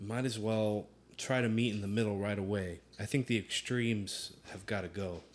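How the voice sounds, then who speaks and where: Fairly even intonation at a moderate speed, in an ordinary speaking voice. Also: man, fairly low pitch for a man. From US suburbs, Puerto Rican heritage. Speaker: musician and rideshare driver. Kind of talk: casual chat.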